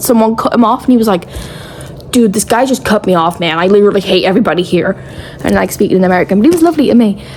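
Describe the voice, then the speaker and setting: A woman's very fast, mumbling speech at a medium pitch in a British accent, over noticeable background noise. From England. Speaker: travel vlogger. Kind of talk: casual vlog chat.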